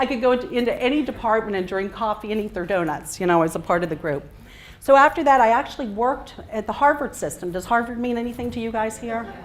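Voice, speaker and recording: Speaking very fast with lively intonation, a woman with a fairly high pitch and an American accent is heard over audible room echo. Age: 40s. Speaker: physician and speaker. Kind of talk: talk to a live audience. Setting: stage with audience.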